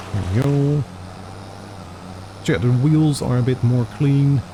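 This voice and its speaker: The pace is very slow. Noticeable background noise is present. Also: man. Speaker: gaming video creator. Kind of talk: let's play commentary.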